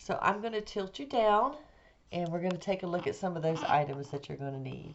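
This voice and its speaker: Putting on a raspy character voice, a woman speaks at a medium pitch and a fairly quick pace, with very wide pitch swings. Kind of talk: casual tutorial.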